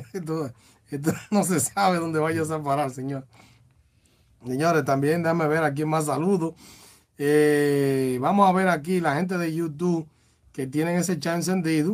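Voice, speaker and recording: Using a Dominican accent, a man with a fairly high pitch speaks at a fairly slow pace, with fairly even intonation and long, frequent pauses. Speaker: radio host. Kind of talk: casual radio talk show.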